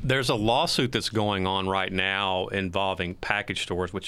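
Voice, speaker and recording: Very clean recording, silent background. A man with a very deep, low pitch and a bright, sharp tone speaks at a moderate pace. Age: 50s. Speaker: investigative reporter. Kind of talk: casual panel discussion.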